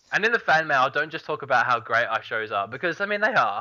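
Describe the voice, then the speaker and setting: In an Australian accent, a man talks at a very fast pace with a bright, sharp tone and very wide pitch swings. The recording is very clean, with a silent background. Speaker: gaming podcast co-host. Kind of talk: casual chat.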